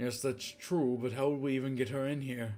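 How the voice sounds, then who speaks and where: Using a put-on character voice, a man talks at a fairly quick pace in a medium pitch, keeping his intonation fairly even. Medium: read story. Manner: guarded, evasive.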